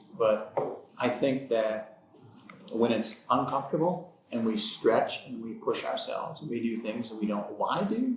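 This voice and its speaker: Audible room echo accompanies a man speaking in an American accent. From United States. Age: 60s. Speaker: podcast co-host, business owner. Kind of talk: casual podcast conversation.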